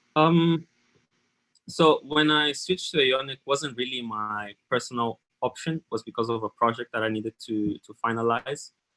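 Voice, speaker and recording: A man talks at a moderate pace in a medium pitch with ordinary pitch variation. His tone is bright and sharp, with a dry, close sound and no echo. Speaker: software developer, conference speaker. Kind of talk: tech talk Q&A. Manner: halting, repeated words.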